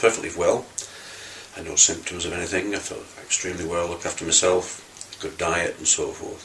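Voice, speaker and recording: Here a man speaks at a moderate pace. There is noticeable background noise. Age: 60s. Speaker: cancer patient. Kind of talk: testimony. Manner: halting, many fillers and restarts.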